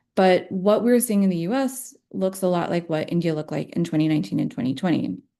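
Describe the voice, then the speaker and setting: A woman's very fast speech with an American accent, fairly low in pitch, dark and mellow in tone, with lively intonation against a quiet background. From Texas. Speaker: panelist, researcher. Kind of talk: prepared remarks at a virtual briefing.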